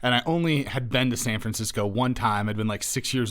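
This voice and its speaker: A man talks fairly quickly at a medium pitch while noticeable background noise plays behind him. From Wyoming. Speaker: podcast host and lawyer. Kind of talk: podcast interview. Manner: casual.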